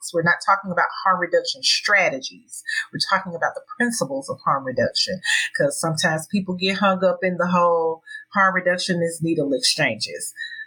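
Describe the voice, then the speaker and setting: Against noticeable background noise, a woman with an American accent talks at a fairly quick pace. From US South, Tennessee. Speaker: harm reduction advocate and sex educator. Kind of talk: interview.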